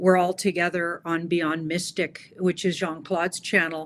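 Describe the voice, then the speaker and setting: The recording is very clean, with a silent background. A woman talks at medium pitch and a moderate pace. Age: 60s. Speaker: tarot reader. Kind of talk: interview.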